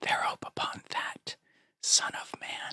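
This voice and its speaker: A man whispers at a very slow pace. The sound is dry and close, with no echo. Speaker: ASMR and gospel reader. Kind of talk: scripture reading. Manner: whispered, soft-spoken.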